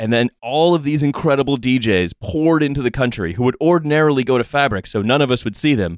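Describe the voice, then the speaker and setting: A man talks at a very fast pace with a medium pitch and ordinary pitch variation. The background is quiet and the sound is dry and close with no echo. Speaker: podcast host. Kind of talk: casual group chat. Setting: studio.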